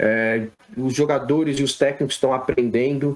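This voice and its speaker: The man has an unremarkable speaking voice, medium pitch and ordinary pitch variation. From Brazil, São Paulo. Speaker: sports physiotherapist. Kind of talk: podcast interview.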